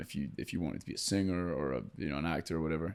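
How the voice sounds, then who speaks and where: A man at a very fast pace with vocal fry and lively intonation, on a very clean recording with a silent background. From Scotland. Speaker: actor and country singer. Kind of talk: podcast interview. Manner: casual, many fillers and restarts.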